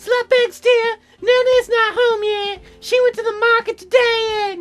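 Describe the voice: In a squeaky, put-on character voice, a female-sounding speaker talks at an extremely high pitch, with faint music in the background. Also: moderate pace.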